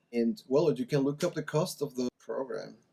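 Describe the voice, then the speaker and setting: With a Spanish accent and a dark, mellow tone, a man speaks at a moderate pace in a dry, close sound with no echo. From Mexico. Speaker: language-learning YouTuber. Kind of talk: casual vlog talk to camera.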